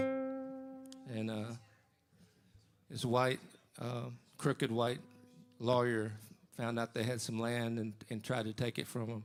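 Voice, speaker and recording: Music plays in the background as a man speaks at a very slow pace with long, frequent pauses. His medium pitch stays monotone and flat. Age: 60s. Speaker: singer-songwriter. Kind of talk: between-song stage banter. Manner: halting, with fillers.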